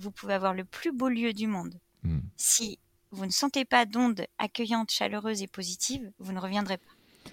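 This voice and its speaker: In a normal speaking voice, a woman talks at a moderate pace and medium pitch, with ordinary pitch variation, big swings in loudness, and a dry, close sound with no echo. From France, Reims. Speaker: entrepreneur. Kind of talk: interview, casual chat.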